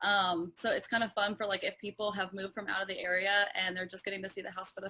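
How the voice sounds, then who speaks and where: A woman with an American accent speaks very fast at a medium pitch, her tone bright and sharp and her intonation fairly even. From Northern Virginia. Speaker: real estate agent. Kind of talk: interview.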